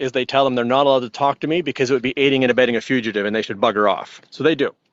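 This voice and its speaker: A man's voice at a fairly high pitch. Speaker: fugitive interviewee. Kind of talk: interview. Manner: halting, pauses to breathe.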